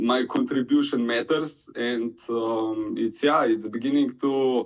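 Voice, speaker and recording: A man's medium-pitched voice in a Slovenian accent, at a fairly slow pace with monotone, flat intonation. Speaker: crypto community member. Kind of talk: casual community chat. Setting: online audio room. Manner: halting, many hesitations.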